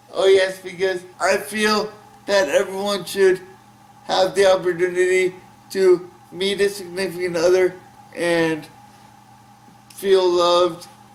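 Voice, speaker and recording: Over noticeable background noise, a man with an American accent speaks at a high pitch in a monotone, flat voice, at a fairly slow pace with long, frequent pauses. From Burke, Virginia. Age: 30s. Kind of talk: interview answer. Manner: halting, repetitive.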